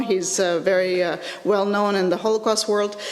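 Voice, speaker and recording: A woman speaks at a moderate pace in a medium pitch. Audible room echo and noticeable background noise surround her voice. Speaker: educational technology lecturer. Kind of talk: conference presentation. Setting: conference with live audience. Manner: halting, many fillers.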